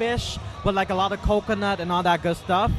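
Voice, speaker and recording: With music in the background, a man speaks in a Cambodian accent. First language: Khmer. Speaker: event attendee. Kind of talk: casual interview.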